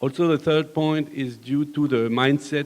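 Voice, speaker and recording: Someone talks at a moderate pace with a French accent. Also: man. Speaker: construction company manager. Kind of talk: panel discussion. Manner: hesitant, many fillers.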